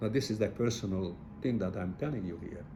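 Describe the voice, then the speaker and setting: A man speaks at a moderate pace with a fairly low pitch. His tone is dark and mellow, and somewhat breathy. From Hungary. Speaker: Holocaust survivor. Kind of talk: testimony interview. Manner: halting, many repetitions.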